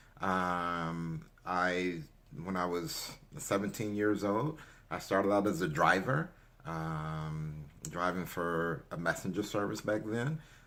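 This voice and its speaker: With an American accent, a man with very deep, low pitch and a bright, sharp tone speaks at a very slow pace with ordinary pitch variation, in audible room echo. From Chicago, South Side. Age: 60s. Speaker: rideshare driver and real estate vlogger. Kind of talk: casual unscripted vlog monologue. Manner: hesitant, many fillers.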